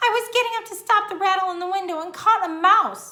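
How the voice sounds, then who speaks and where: A woman's squeaky put-on character voice at extremely high pitch, with ordinary pitch variation, a fairly quick pace and big swings in loudness. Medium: read story. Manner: gushy, sweet.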